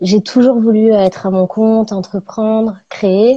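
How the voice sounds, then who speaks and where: A woman speaks at a fairly slow pace with a dark, mellow tone and a fairly high pitch. Her intonation stays fairly even, and the sound is dry and close with no echo. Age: 30s. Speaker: ceramicist. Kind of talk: casual interview, live stream. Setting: live online video stream.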